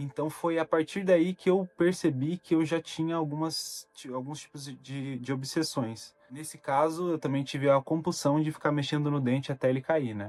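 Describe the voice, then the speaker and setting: In an ordinary speaking voice, a man talks at a moderate pace and fairly high pitch, with fairly even intonation and hardly any pauses. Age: 20s. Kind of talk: personal talk to camera about mental health.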